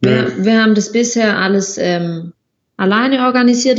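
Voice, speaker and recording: The woman speaks at a moderate pace. Her pitch varies in an ordinary way. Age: 20s. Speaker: occupational therapist and traveller. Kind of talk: casual interview.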